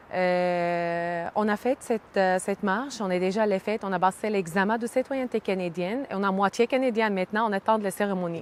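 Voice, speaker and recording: A woman's medium-pitched voice at a moderate pace with hardly any pauses, ordinary pitch variation and a dry, close sound with no echo. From Syria, Hama region. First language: Arabic (speaking French). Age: 30s. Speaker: immigrant, early childhood educator. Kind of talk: interview testimony. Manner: halting, many hesitations.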